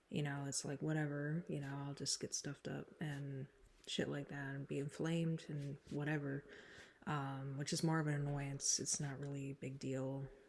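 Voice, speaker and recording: A woman with a very deep, low pitch speaks at a moderate pace, somewhat breathy and in a flat monotone. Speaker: YouTuber doing song covers and vlogs. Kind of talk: casual vlog chat. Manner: casual, filler-heavy rambling speech.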